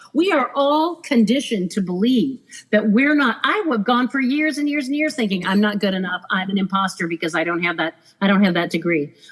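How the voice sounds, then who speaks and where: A woman speaks at a fairly quick pace and a fairly high pitch. Her voice moves through very wide pitch swings. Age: 50s. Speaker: former cruise director. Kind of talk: casual chat.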